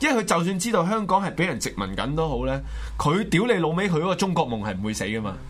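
Very fast, animated speech from a man with a Hong Kong accent, high pitch and very wide pitch swings, with audible room echo. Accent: Hong Kong Cantonese. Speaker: political talk show host. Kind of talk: political commentary.

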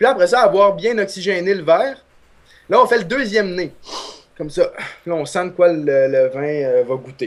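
A man speaks in a high pitch with lively intonation. His delivery has long, frequent pauses. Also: moderate pace. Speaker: humor columnist. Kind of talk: comedic segment.

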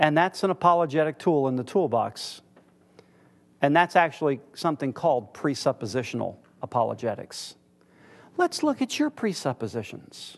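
A man with an American accent speaks at a fairly high pitch and moderate pace, with lively intonation and long, frequent pauses. The background is quiet. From United States. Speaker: church teacher. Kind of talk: lecture.

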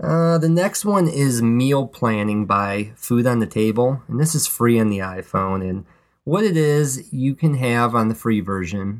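In a very clean recording with a silent background, a man with a plain, everyday voice speaks at a fairly slow pace with lively intonation. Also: medium pitch for a man. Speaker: podcast co-host. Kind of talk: casual chat. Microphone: old podcast mic, not the new one.

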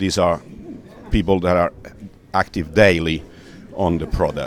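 A man's very deep, low voice in a monotone, flat intonation, against noticeable background noise. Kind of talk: interview. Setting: conference booth.

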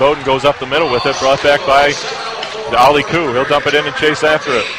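Over noticeable background noise, a man with a fairly high voice speaks at a very fast pace. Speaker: college radio play-by-play announcer. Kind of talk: live ice hockey play-by-play commentary. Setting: broadcast booth at ice arena. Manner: rapid-fire, rising to excited shouts on goals; brisk, clipped puck-by-puck narration.

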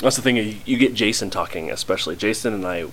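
Noticeable background noise under a voice of ordinary pitch variation. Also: man. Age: 20s. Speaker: podcast co-host and college radio host. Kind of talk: casual chat. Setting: home recording.

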